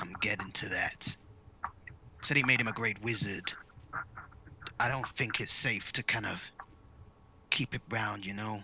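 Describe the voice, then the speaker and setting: Using a put-on character voice at a medium pitch, a man speaks at a moderate pace with long, frequent pauses as background noise is clearly heard. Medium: actual play.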